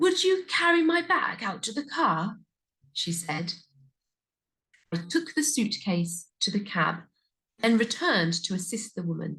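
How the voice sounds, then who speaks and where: In a British accent, a woman with a fairly high pitch and a bright, sharp tone speaks at a fairly slow pace. Her pitch swings very widely, and she pauses long and often. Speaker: English pronunciation teacher. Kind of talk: story reading for learners. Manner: slow, clear.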